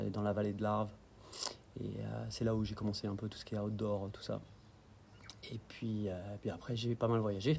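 Somewhat breathy and dark, mellow in tone, a man's fairly low voice moves at a moderate pace with fairly even intonation. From France, Dijon (Burgundy). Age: 30s. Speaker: outdoor guide and business owner. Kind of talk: casual interview.

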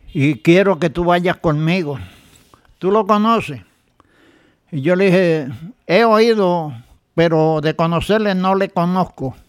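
A man with a high pitch speaks at a very slow pace. He leaves long, frequent pauses and shows ordinary pitch variation. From Puerto Rico. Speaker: church member giving testimony. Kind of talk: testimony.

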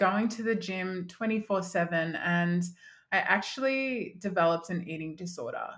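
Here a woman speaks with an Australian accent at a medium pitch. Her pitch variation is ordinary and her pace moderate. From Australia, country Victoria (Mildura). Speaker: confidence coach. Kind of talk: podcast interview.

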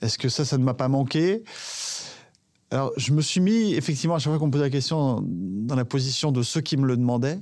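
In a normal speaking voice, a man talks at medium pitch with ordinary pitch variation on a very clean recording with a silent background. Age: 40s. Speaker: former sports journalist turned cheesemonger. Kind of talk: personal testimony.

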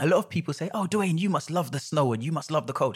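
Somewhat breathy, a man speaks at a very fast pace. His pitch swings very widely. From rural Jamaica, then Hackney, London. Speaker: adventurer and scout ambassador. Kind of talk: interview conversation. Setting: at a kitchen table.

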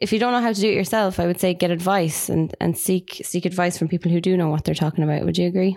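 A woman's fairly low, dark, mellow voice with an Irish accent, very fast with hardly any pauses, fairly even intonation and very even loudness. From Ireland. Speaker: marketing podcast co-host. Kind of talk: casual chat.

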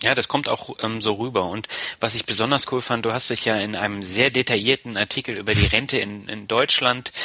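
Medium-pitched male speech at a moderate pace amid noticeable background noise. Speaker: podcast host. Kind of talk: interview.

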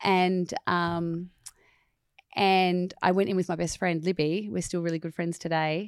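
A woman with an Australian accent, a fairly low pitch, a fairly slow pace and monotone, flat intonation. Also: very clean recording, silent background. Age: 40s. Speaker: musical theatre performer. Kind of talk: casual chat. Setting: studio.

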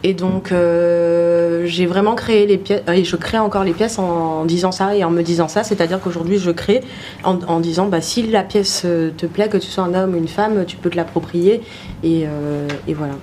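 At a moderate pace, a woman talks in a fairly low voice with fairly even intonation over noticeable background noise. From Guadeloupe. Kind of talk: casual interview on a livestream. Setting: studio livestream with camera. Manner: hesitant, many fillers.

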